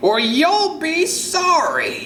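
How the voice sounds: In a put-on character voice, a man goes extremely high in pitch with very wide swings and a bright, sharp tone, heard with audible room echo.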